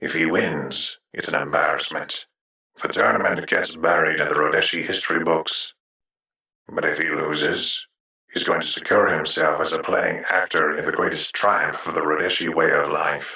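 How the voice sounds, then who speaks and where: At a moderate pace, the lines come in a put-on character voice. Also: man. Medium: audio drama. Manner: cynical, worldly, blunt.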